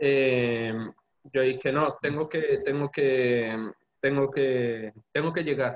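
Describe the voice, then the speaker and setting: Speaking at a very slow pace, a man with a fairly high pitch keeps his loudness very even. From Colombia. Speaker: convert to Judaism, engineer. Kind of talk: interview testimony.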